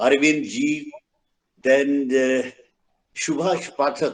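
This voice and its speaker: With a Bengali accent, a man speaks at a very slow pace and keeps his intonation fairly even. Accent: Bengali Indian English. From India, Bengal. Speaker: event speaker. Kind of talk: formal speech at online event. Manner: halting.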